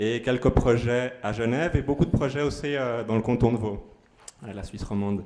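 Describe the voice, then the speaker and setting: Fairly quick in pace, a man speaks at a medium pitch. His intonation stays fairly even. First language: Spanish (speaking French). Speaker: aid organisation worker. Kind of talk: community presentation. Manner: halting, many fillers.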